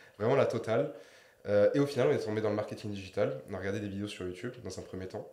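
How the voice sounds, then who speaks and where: Amid audible room echo, a man with a fairly low voice talks at a very fast pace. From southern France, Marseille. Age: 20s. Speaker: digital marketing entrepreneur. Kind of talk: interview. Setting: podcast studio.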